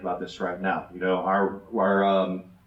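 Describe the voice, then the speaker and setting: A man speaks with audible room echo. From Germany. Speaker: city council candidate. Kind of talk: candidate forum answer. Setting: church hall with audience.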